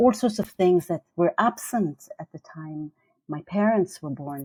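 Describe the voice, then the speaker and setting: A woman's voice has a dark, mellow tone in a dry, close sound with no echo. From Iran. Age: 60s. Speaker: professor and international advisor. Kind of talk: interview. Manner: hesitant, with many fillers.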